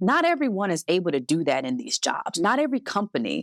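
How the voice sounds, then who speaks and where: A woman with an American accent speaks at a fairly quick pace, using lively intonation and a plain, everyday voice. The recording is very clean, with a silent background. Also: dry, close sound with no echo. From US Midwest, Cleveland. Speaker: diversity and inclusion executive. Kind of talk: interview.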